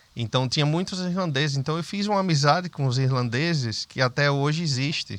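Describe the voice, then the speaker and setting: Speaking fairly quickly with hardly any pauses, a man with a northeastern Brazilian accent uses a fairly high pitch and ordinary pitch variation. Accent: Brazilian northeastern accent, kept. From Brazil, Northeast (Sergipe, Aracaju). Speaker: businessman. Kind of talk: interview conversation.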